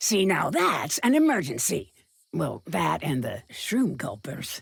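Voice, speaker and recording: A put-on character voice at a middle pitch moves along at a fairly slow pace. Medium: video game. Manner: curt, sarcastic, impatient.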